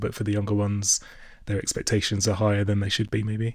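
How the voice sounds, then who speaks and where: Flat, monotone delivery at a very fast pace, very cleanly recorded over a silent background. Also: man. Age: 30s. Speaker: podcast host and recruiter. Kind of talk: interview, casual chat.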